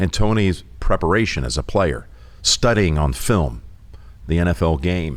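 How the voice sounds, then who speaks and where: This man's very deep, low voice carries vocal fry and swings very widely in pitch. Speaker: sportscaster. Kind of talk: interview answer. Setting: studio.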